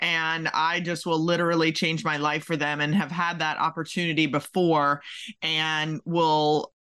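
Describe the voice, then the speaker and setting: Against a quiet background, a bright, sharp voice with an American accent moves at a fairly slow pace. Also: woman, very deep, low pitch for a woman. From Maryland, US. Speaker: podcast host, career coach. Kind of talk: interview podcast; scripted intro. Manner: animated.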